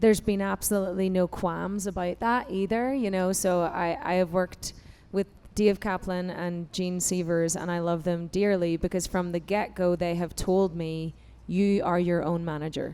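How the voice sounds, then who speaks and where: A woman with an Irish accent speaks at a moderate pace in a fairly low pitch with a dark, mellow tone. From Ireland. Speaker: singer and founder of a women's music organization. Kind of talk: panel discussion. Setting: stage with audience. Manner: animated.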